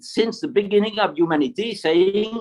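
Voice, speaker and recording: A man speaks in a French accent. His pitch is high. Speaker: retired military officer. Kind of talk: panel talk. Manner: halting, many repetitions; enthusiastic. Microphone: poor signal.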